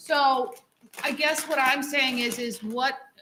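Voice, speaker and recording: Ordinary pitch variation marks a woman's speech. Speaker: school board member. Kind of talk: public meeting discussion. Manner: loud.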